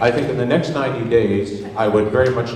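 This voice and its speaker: Recorded with audible room echo and noticeable background noise, a man of medium pitch speaks at a moderate pace with ordinary pitch variation. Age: 70s. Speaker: audience member. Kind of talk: public forum question. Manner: impassioned.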